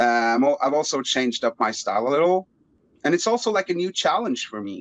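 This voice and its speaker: Heard in a dry, close sound with no echo, a man speaks at a fairly quick pace with very wide pitch swings. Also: fairly high pitch for a man. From Norway. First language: Norwegian. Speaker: rapper. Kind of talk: interview. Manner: halting.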